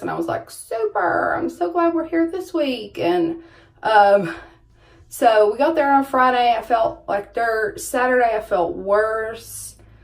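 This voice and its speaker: At a fairly slow pace, a woman with a Southern US accent talks at a fairly high pitch, with very wide pitch swings. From US South. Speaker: beauty vlogger. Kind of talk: makeup tutorial. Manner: casual chatty.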